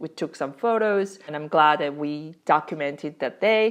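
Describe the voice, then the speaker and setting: A woman speaks with a Korean accent. Her intonation is lively. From South Korea. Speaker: parenting vlogger. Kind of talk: casual vlog talk to camera.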